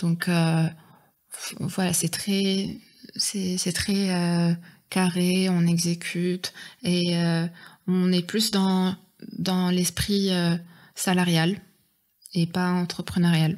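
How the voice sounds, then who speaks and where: A woman speaks at a very slow pace in a monotone, flat intonation, with long, frequent pauses. Her loudness stays very even on a very clean recording with a silent background. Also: fairly low pitch for a woman. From Morocco, Oujda. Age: 20s. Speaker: airline pilot cadet. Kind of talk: interview. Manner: hesitant, many fillers.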